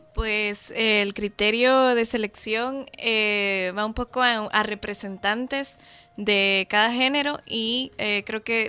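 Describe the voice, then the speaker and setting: A woman's fairly high voice with a bright, sharp tone and fairly even intonation. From Guatemala. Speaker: documentary producer and editor. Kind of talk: interview.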